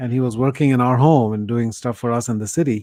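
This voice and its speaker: Over a quiet background, a man at medium pitch talks very fast with fairly even intonation. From India. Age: 60s. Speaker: professor and author. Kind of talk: interview conversation.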